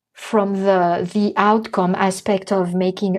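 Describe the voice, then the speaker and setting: The speaker has a French accent. The background is quiet. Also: woman. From France. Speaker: artist and mindfulness educator. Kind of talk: interview chat.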